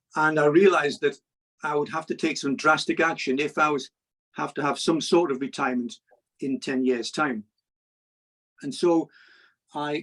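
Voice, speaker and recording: The speaker is a man with an English accent and a fairly high pitch. His voice sounds dry and close, with no echo. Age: 60s. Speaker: cab driver and money YouTuber. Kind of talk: interview.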